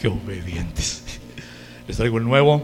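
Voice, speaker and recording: With a Mexican accent, a man at a medium pitch speaks in an animated tone with very wide pitch swings, amid noticeable background noise and audible room echo. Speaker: preacher. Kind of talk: sermon. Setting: church.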